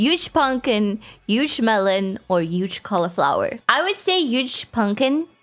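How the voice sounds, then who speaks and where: Very wide pitch swings mark this voice. The speaker is a woman. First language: Afrikaans. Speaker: gaming YouTuber. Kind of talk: casual Q&A video. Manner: halting, frequent restarts.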